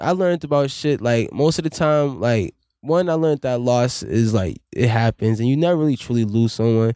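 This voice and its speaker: A man with an American accent in a plain, everyday voice, with lively intonation, very even loudness, a moderate pace and hardly any pauses, in a very clean recording with a silent background and a dry, close sound with no echo. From Boston, Dorchester. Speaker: musician. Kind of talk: casual chat.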